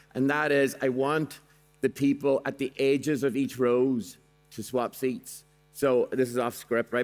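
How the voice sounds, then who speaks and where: An animated man at a medium pitch, with music in the background. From Ireland. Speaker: motivational speaker. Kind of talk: keynote talk with audience activity. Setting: stage with audience.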